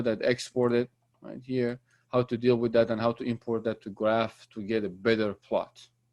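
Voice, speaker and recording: The background stays quiet. Against it, a man talks at a moderate pace. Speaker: university lecturer. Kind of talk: lecture. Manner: halting.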